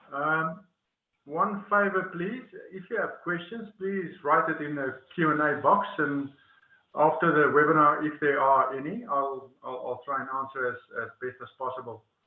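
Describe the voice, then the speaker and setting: A man with an Afrikaans accent speaks at a fairly high pitch, his pitch varying in an ordinary way. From South Africa, Northern Cape. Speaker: webinar presenter. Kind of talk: webinar presentation. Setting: online webinar. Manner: slow; hesitant, many fillers and repetitions.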